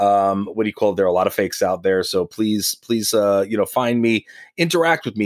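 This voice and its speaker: Speaking at a medium pitch with a New York accent, a man is heard in a very clean recording with a silent background and a dry, close sound with no echo. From Long Island, New York. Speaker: former pro wrestler. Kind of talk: interview. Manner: halting.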